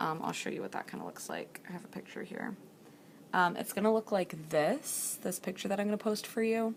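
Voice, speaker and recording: With vocal fry at a medium pitch, a woman talks at a fairly quick pace using ordinary pitch variation. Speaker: teacher. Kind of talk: tutorial. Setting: library.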